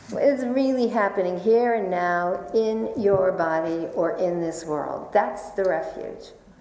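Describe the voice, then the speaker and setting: Noticeable noise runs behind the speech. The voice has an American accent, lively intonation and a fairly slow pace. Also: woman, medium pitch for a woman, hardly any pauses. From New York. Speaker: Buddhist meditation teacher. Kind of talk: dharma talk.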